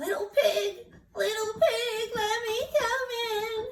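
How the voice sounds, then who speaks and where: A put-on character voice, squeaky and extremely high in pitch, moves at a very slow pace. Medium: read story. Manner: sly, scheming.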